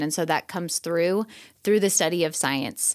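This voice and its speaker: In an American accent, a woman with an unremarkable speaking voice talks at a fairly quick pace and fairly low pitch with ordinary pitch variation, on a very clean recording with a silent background. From US Midwest, Chicago suburbs. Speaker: teacher. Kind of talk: interview conversation.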